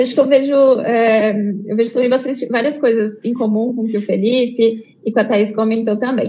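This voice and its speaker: Over noticeable background noise, a woman speaks at a fairly high pitch and moderate pace with fairly even intonation. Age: 30s. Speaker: research team lead. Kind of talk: online conference panel discussion. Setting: live online event.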